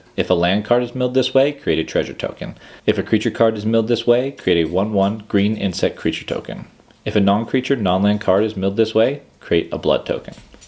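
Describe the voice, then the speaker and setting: A man's speech, with ordinary pitch variation, moves at a fairly quick pace. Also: fairly low pitch for a man. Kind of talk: calm card-reading ASMR. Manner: calm, steady.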